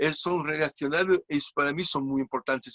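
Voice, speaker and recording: The speaker is a man with a fairly high pitch. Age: 60s. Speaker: clown. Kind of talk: interview. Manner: halting.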